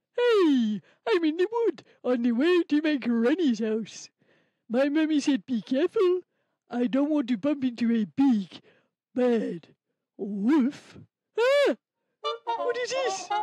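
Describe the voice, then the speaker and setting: A female-sounding, cartoonish character voice, high in pitch, moves at a fairly slow pace with long, frequent pauses. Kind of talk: children's puppet show. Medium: puppet.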